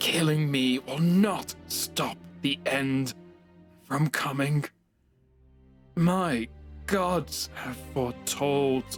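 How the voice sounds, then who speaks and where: A man puts on a wheezy, hissing character voice at a medium pitch with lively intonation. He goes very slowly with long, frequent pauses, and faint music plays in the background. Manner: hissing, defiant.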